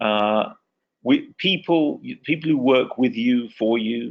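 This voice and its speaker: A man speaks with an English accent. His intonation is lively. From England. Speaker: communications consultant, former TV and radio reporter. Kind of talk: webinar presentation. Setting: online webinar.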